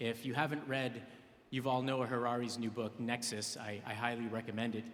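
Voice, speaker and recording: A man's medium-pitched voice at a fairly quick pace, monotone and flat, with audible room echo. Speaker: AI tech entrepreneur, keynote speaker. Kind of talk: conference keynote presentation. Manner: fast.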